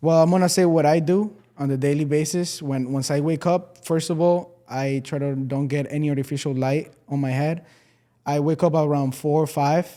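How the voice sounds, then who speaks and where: A man's fairly high voice with a dark, mellow tone at a moderate pace, on a very clean recording with a silent background. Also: fairly even intonation. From Venezuela. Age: 20s. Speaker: entrepreneur. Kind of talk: podcast interview.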